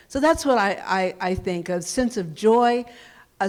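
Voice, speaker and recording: An unremarkable speaking voice belongs to this woman, who has an American accent, medium pitch and lively intonation. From US South, Louisiana (Baton Rouge). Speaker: community leader. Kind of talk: panel discussion.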